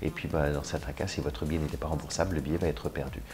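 A man's extremely low voice, fast and fairly even in intonation, with clear background noise

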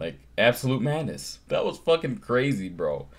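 Music plays in the background while a man speaks fairly slowly. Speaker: reaction video creator. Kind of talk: casual vlog chat. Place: home room. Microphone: earbuds.

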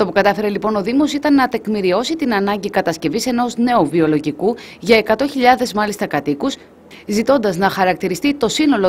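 An ordinary speaking voice from a woman at a medium pitch, with lively intonation and a moderate pace. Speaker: news reporter. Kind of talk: news report narration.

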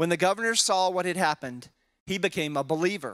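Ordinary pitch variation marks a man's voice set against a quiet background. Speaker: pastor or Bible teacher. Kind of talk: scripture reading and Bible study teaching. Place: church. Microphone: handheld.

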